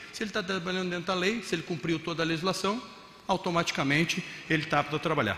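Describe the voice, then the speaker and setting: At a very fast pace, a man with a fairly high pitch speaks through audible room echo and noticeable background noise. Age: 50s. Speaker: mayor. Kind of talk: conference talk. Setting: stage with audience.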